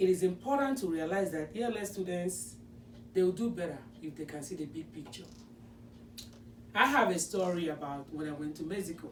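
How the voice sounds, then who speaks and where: A non-native accent comes through at a fairly quick pace, broken by long, frequent pauses, with lively intonation and big swings in loudness. Noticeable background noise runs underneath. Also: woman, fairly low pitch for a woman. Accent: non-native accent from home country. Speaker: special education teacher. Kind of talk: presentation.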